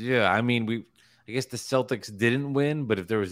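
This is a man at a medium pitch with ordinary pitch variation and a moderate pace, an unremarkable speaking voice. The recording is very clean, with a silent background. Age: 30s. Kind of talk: casual chat.

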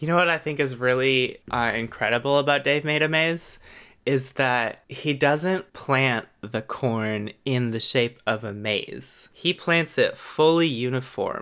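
The speech moves at a fairly slow pace with hardly any pauses. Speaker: podcast co-host. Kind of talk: casual chat. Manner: laughs often.

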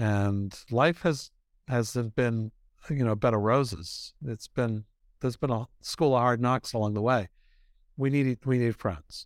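A man with an American accent and a normal speaking voice, at a medium pitch and a fairly slow pace, with ordinary pitch variation and a dry, close sound with no echo. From US, Boston. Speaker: author and ministry leader. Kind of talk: interview.

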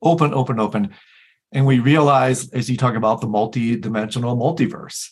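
Somewhat breathy, a man with an American accent speaks at a fairly quick pace, his medium pitch showing ordinary variation. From US Midwest. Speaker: podcast host. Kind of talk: casual chat.

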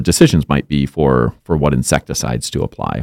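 A man with an Upper Midwest accent, lively intonation and a moderate pace, in a dry, close sound with no echo. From Minnesota, Monticello. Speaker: entomologist. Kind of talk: interview. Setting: studio.

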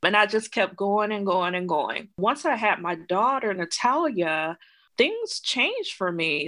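A woman with an American accent speaks in a normal speaking voice at a medium pitch. Her pace is fairly slow, and the background is quiet. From US South, southwest Georgia (Edison). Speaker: HR consultant and startup founder. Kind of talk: interview.

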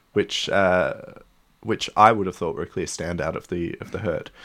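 A man speaks with an Australian accent. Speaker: cycling journalist. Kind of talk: casual chat.

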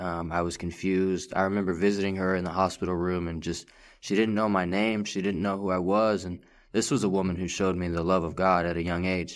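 On a very clean recording with a silent background, a man with an American accent speaks at a fairly quick pace in a very deep, low, monotone voice with flat intonation. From Texas. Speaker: rehab program student. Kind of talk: testimony. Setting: studio.

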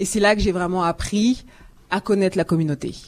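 Her voice is an unremarkable speaking voice, fairly low in pitch for a woman and fairly even in intonation. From France. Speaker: communications and marketing specialist. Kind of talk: live panel discussion. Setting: live broadcast from a community centre with audience.

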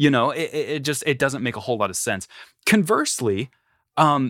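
A man talks at a moderate pace in a normal speaking voice with lively intonation. The recording is very clean and silent behind him, with a dry, close sound and no echo. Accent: American. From US South, rural North Carolina. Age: 20s. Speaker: one-man metal band musician. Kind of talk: casual interview chat.

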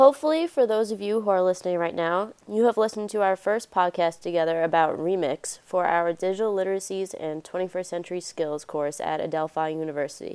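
Speaking at medium pitch, a woman goes at a very fast pace with hardly any pauses and ordinary pitch variation. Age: 20s. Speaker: student podcast host. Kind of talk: casual podcast chat.

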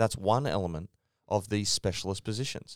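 Fairly quick speech from a man with an Australian accent, dry and close with no echo, on a very clean recording with a silent background. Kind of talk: casual chat. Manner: animated, ranting.

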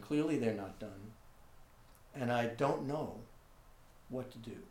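In an American accent, a man with a medium pitch speaks with fairly even intonation amid audible room echo. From New York City (Manhattan). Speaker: visual artist. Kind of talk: interview. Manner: halting.

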